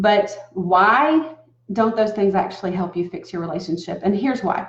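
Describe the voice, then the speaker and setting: A woman speaks with a Southern US accent at a fairly slow pace. Her voice sits at medium pitch and is somewhat breathy. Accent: southern American. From US South. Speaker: relationship coach. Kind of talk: talking-head advice video. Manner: casual, conversational.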